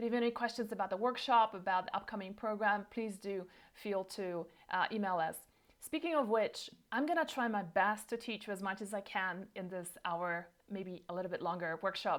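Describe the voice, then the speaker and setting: A woman speaks fairly quickly at a medium pitch. Her pitch varies in an ordinary way. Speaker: herbalist and nutrition practice founder. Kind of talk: online workshop presentation. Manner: fast.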